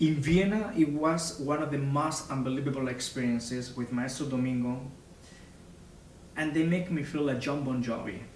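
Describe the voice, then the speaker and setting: Recorded with audible room echo and noticeable background noise, a man with a Spanish accent speaks at a fairly high pitch. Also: ordinary pitch variation, moderate pace. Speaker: opera singer. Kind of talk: interview.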